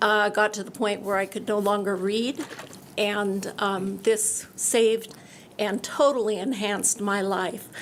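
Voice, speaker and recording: A woman at medium pitch, fairly slow pace and fairly even intonation, over noticeable background noise. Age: 70s. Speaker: organ donation ambassador and cornea recipient. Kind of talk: testimony.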